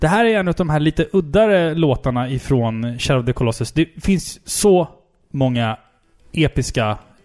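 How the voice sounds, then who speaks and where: At a moderate pace, a man speaks in a plain, everyday voice with very even loudness. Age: 30s. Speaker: video game podcast co-host. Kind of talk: casual chat.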